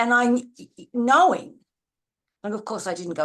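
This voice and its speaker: Over a quiet background, a woman with an Australian accent speaks with very wide pitch swings. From Australia, Adelaide. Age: 70s. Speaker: university research educator. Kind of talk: live online seminar discussion. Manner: halting, many restarts.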